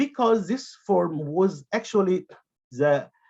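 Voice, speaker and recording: A man in an Arabic accent speaks at a very slow pace, his high pitch moving through very wide swings. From Egypt. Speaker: academic conference presenter, translator. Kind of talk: conference presentation. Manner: halting, many fillers and repetitions.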